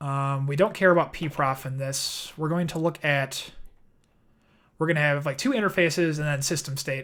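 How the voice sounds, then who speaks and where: A man with a Midwestern accent talks at a moderate pace in a fairly high pitch, his intonation fairly even, on a very clean recording with a silent background. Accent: Midwest. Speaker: software developer streamer. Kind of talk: live coding stream. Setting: live stream. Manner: casual, thinking aloud with fillers.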